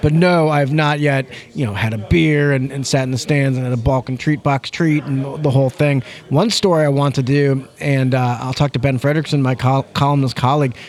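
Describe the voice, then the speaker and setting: This man has a plain, everyday voice, fairly high in pitch, with an American accent, fairly even intonation and a fairly quick pace. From St. Louis, Missouri. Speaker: sports columnist. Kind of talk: casual chat.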